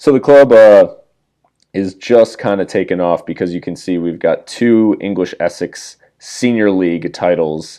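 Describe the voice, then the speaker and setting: In a very clean recording with a silent background, a man with an American accent speaks at a fairly slow pace in a fairly low pitch, his tone dark and mellow with ordinary pitch variation. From USA. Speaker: gaming YouTuber. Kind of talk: gameplay commentary. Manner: casual.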